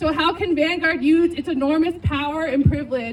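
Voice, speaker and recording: The voice is loud, with noticeable background noise behind it. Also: woman. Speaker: activist organizer. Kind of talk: rally speech.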